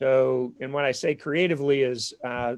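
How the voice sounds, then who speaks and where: A man speaks in a Minnesotan accent. His pitch is fairly high. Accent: Minnesota. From southern Minnesota. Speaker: seminary academic dean and ethics professor. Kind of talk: live-streamed info session interview. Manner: hesitant, many fillers.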